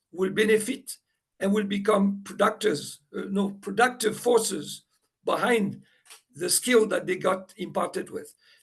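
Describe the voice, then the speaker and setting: In a non-native accent, the speaker keeps a moderate pace and fairly even intonation. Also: man. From Morocco. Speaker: panel respondent. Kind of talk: panel discussion.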